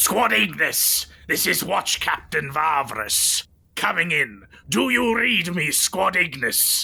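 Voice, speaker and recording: Putting on a raspy character voice, a man talks fairly slowly at a high pitch, his loudness very even. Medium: actual play. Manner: commanding, urgent.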